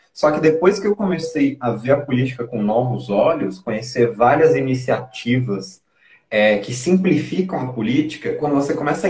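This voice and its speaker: This man speaks at a moderate pace in a medium pitch, somewhat breathy, with very wide pitch swings. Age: 20s. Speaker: former city council candidate. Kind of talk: interview.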